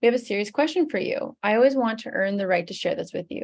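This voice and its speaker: A woman speaks with vocal fry. Her pitch variation is ordinary. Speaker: fitness coach. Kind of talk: sales pitch. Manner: fast.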